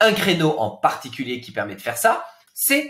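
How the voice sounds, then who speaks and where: A man speaks with very wide swings in pitch. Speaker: business coach. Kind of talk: webinar presentation. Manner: dynamic.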